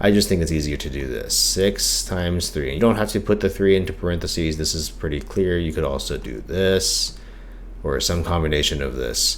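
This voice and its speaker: A man speaks in a very deep, low voice with very wide pitch swings and a calm tone. Audible room echo and noticeable background noise surround him. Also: moderate pace. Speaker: math teacher. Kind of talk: tutorial.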